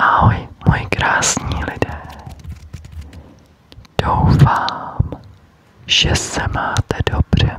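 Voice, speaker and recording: With long, frequent pauses and a very slow pace, a woman whispers amid noticeable background noise. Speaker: ASMR creator; teacher. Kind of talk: ASMR whisper triggers for sleep. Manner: whispered, soft, slow.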